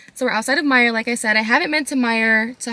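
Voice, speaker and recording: A woman talks at a very fast pace with ordinary pitch variation. The sound is dry, with no echo. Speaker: lifestyle vlogger. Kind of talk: casual vlog chat. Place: car.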